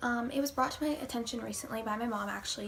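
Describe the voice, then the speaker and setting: There is noticeable background noise as a woman talks in a fairly high pitch. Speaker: vegan vlogger. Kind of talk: casual talk to camera. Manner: stuttering, hesitant with many fillers.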